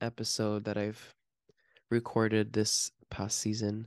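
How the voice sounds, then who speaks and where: Speech comes at a moderate pace with an American accent. The background is quiet. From Miami, US. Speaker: podcast host. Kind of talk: casual chat.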